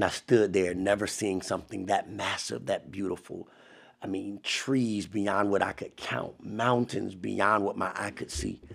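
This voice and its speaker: On a very clean recording with a silent background, a man speaks at a fairly slow pace and fairly low pitch with vocal fry and ordinary pitch variation. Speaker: motivational podcast host. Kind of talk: motivational monologue. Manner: animated.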